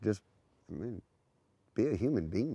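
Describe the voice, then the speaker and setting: Against a quiet background, a man with a Louisiana accent speaks in a dark, mellow tone. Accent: Louisiana Southern US. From Louisiana, Lafayette. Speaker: good samaritan. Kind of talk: interview.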